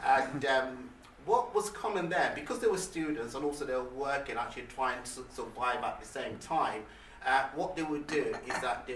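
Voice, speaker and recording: With lively intonation and a fairly high pitch, a man talks at a moderate pace against noticeable background noise and audible room echo. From England, Leicester, with childhood years in Nigeria. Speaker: motivational speaker. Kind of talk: motivational talk. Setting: stage with audience. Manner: halting.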